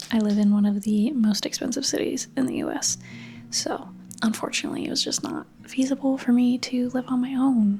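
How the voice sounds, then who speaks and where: Clearly audible background noise accompanies speech that moves fairly quickly. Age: 30s. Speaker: lifestyle and art vlogger. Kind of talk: casual vlog chat. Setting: home, bedroom. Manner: whispery.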